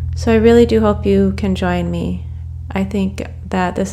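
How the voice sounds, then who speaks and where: A woman talks at a moderate pace in a calm, warm tone with very deep, low pitch and monotone, flat intonation. Noticeable background noise runs underneath. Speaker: hypnotherapist and podcast host. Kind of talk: guided meditation. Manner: calm and warm, hypnotic.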